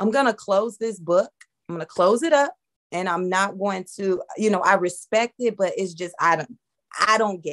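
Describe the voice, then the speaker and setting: Lively intonation marks a woman speaking at a moderate pace over a quiet background. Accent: American. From US. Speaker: convert sharing story. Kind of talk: personal testimony. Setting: video call. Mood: warm, smiling. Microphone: video call.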